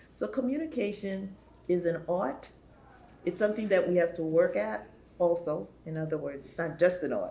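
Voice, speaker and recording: Amid audible room echo, a woman with a fairly low pitch and lively intonation speaks at a moderate pace, leaving long, frequent pauses. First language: not English. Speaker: talk show co-host. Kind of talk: panel talk show chat.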